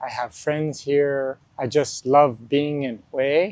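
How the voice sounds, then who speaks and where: This man talks at a very slow pace, his pitch fairly high. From US, New Mexico. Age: 60s. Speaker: retired school principal. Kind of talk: interview.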